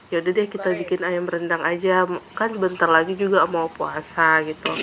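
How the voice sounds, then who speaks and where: Noticeable background noise runs under a woman's voice. She talks at a moderate pace and a medium pitch. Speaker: cooking vlogger. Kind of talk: cooking vlog. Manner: casual, chatty.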